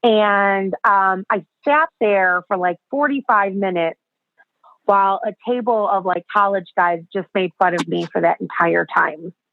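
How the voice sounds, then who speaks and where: With an American accent, a woman in an unremarkable speaking voice talks at a fairly slow pace, medium pitch and ordinary pitch variation. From US, Chicago. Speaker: self-acceptance speaker and podcaster. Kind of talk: interview testimony.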